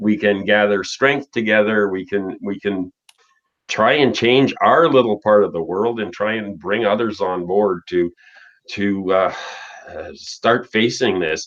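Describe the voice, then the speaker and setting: A man talks at a fairly slow pace in a normal speaking voice. His pitch is fairly low, with ordinary variation. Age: 60s. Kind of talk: casual chat.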